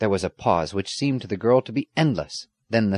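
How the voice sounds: Pitch moves in an ordinary way through a natural reading voice. The surroundings are quiet.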